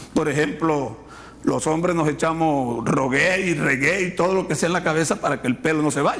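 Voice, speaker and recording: A man speaks at a fairly high pitch and a moderate pace, with ordinary pitch variation and very even loudness. Audible room echo and noticeable background noise surround him. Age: 60s. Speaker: pastor. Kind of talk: sermon. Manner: halting, many repetitions and fillers.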